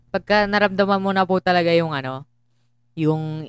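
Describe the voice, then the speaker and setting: A woman speaks in a plain, everyday voice with a fairly low pitch and ordinary pitch variation. Her moderate pace sounds dry and close, with no echo. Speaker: podcast co-host. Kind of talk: casual chat.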